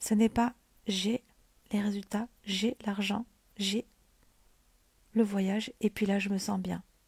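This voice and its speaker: Soft-spoken and somewhat breathy, a woman talks fairly slowly at a medium pitch, recorded in a dry, close sound with no echo. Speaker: mindset coach. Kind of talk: motivational livestream talk. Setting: livestream at home.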